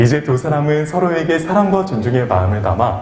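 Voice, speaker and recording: With lively intonation and a moderate pace, a man talks as noticeable noise sounds in the background. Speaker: wedding MC. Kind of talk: live wedding ceremony hosting. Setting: wedding hall PA system.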